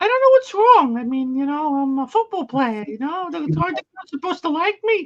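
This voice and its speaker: A put-on character voice with a high pitch runs on with hardly any pauses. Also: fairly quick pace. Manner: confused, naive.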